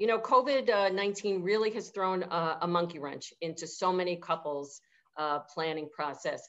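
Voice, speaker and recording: With a New York accent, a woman speaks at a moderate pace. Her pitch is fairly low, with ordinary pitch variation. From New York City (Manhattan). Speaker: event venue owner. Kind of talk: interview. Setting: video call. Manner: halting, many fillers.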